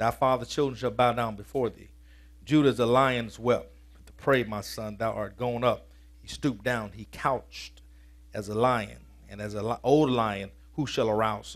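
Speaking at a moderate pace, a man with a medium pitch sounds energetic, his loudness rising and falling widely. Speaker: preacher. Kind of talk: sermon. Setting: church. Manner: colloquial and energetic, shifting from scripture reading to punchy vernacular. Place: church. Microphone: headset.

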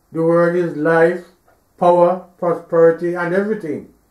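A man is speaking against a quiet background. Room echo is audible. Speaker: preacher. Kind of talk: religious sermon or teaching delivered to an audience; sermon. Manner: preachy, admonishing, didactic. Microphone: podium.

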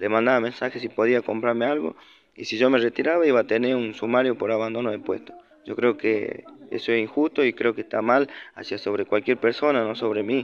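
A man talks at a fairly quick pace with fairly even intonation. Music plays in the background. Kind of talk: complaint testimony to camera. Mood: aggrieved, indignant. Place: street. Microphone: phone near.

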